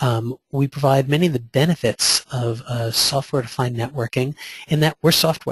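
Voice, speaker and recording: Recorded dry and close with no echo, a man speaks in a somewhat breathy voice with fairly even intonation. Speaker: vendor presenter. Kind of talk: webinar presentation with Q&A. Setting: online webinar. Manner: fast.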